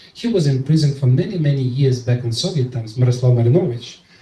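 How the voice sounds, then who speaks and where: A man talks very fast while noticeable background noise plays. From eastern Ukraine, Donetsk. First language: Russian. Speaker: Ukrainian policy expert. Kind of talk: panel discussion. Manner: emotional; halting.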